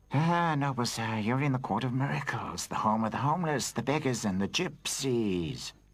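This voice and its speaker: A cartoonish character voice with lively intonation, very even loudness and hardly any pauses at a moderate pace, on a very clean recording with a silent background. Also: man, medium pitch for a man. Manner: whining, pushy.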